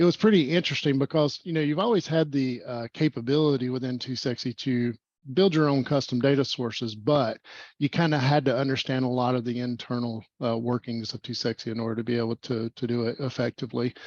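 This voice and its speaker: A man with a medium-pitched voice talks at a very fast pace against a quiet background, the sound dry and close with no echo. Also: ordinary pitch variation. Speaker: community meetup host. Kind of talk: casual online meetup presentation.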